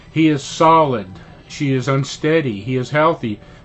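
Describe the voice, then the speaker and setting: A fairly high-pitched man with an American accent at a moderate pace, music playing in the background. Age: 70s. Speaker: political commentator, former business owner. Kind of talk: political monologue. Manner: halting, with fillers.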